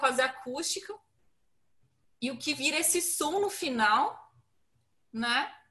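A woman speaks at a high pitch and a fairly slow pace with lively intonation. Her raised, projected voice has a bright, sharp tone. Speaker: guest music fan. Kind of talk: casual chat.

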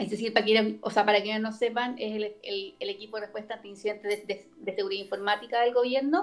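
A woman with a Chilean accent talks at a very fast pace with hardly any pauses, a fairly high pitch, fairly even intonation and big swings in loudness. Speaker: lawyer. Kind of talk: casual chat.

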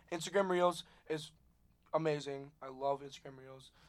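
Putting on a robotic character voice, a man talks at a fairly high pitch and a moderate pace. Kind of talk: casual social-media talk. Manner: robotic, monotone.

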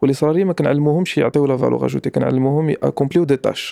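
A man races along at a very fast pace in a dark, mellow tone with fairly even intonation, the sound dry and close with no echo. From Morocco. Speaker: former tax inspector turned entrepreneur. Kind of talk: casual interview conversation.

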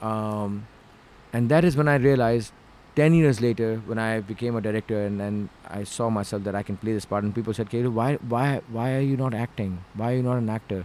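A man with a Pakistani accent, medium pitch, and a fairly quick pace. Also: ordinary pitch variation. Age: 40s. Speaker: filmmaker and actor. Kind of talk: casual interview chat. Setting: studio.

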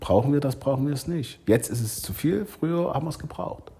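Somewhat breathy and dark, mellow in tone, a man speaks at a fairly quick pace with lively intonation. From eastern Germany (Saxony, Leipzig). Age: 40s. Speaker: restaurateur and business association president. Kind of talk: podcast interview.

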